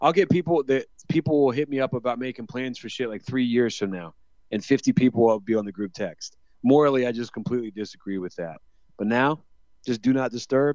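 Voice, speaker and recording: A man uses a normal speaking voice at a medium pitch and a fairly quick pace, with ordinary pitch variation and a dry, close sound with no echo. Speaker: podcast co-host. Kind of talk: casual chat.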